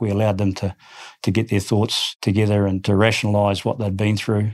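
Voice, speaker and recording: A fairly low male voice in a New Zealand accent, fairly quick and flat in a monotone. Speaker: army general. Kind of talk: interview. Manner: halting.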